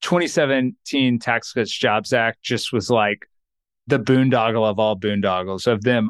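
Speaking with an American accent, a man has a plain, everyday voice, a medium pitch, fairly even intonation and a moderate pace. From Texas. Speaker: accountant and financial planner. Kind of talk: interview.

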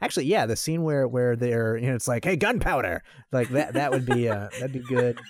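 Ordinary pitch variation in a man's unremarkable speaking voice. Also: medium pitch for a man, fairly quick pace. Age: 30s. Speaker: podcast host and martial artist. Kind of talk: casual chat.

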